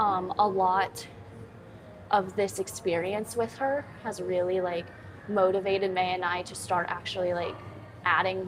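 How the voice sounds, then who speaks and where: The pace is fairly slow. Room echo can be heard. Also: woman. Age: 20s. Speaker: fitness trainer and content creator. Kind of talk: live-stream chat while working out. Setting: gym, live stream. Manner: casual, chatty.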